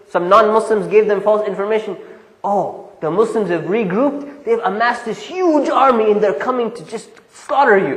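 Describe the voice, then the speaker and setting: Over noticeable background noise, the speaker talks at a moderate speed with lively intonation. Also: man, high pitch for a man. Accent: American. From Southern California. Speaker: imam, Islamic lecturer. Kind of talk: classroom lecture. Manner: casual, conversational.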